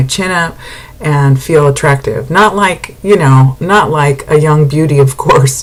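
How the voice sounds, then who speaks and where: Background noise is noticeable while a woman talks. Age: 60s. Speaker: vlogger sharing weight-loss surgery journey. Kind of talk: casual video diary. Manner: halting, many fillers.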